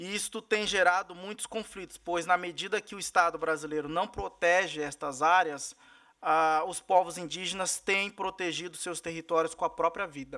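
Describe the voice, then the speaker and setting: Against a quiet background, a man with a high pitch and a bright, sharp tone speaks at a moderate pace with fairly even intonation. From Mato Grosso do Sul, Brazil. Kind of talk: formal testimony at a hearing. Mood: serious, concerned. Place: meeting room. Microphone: podium.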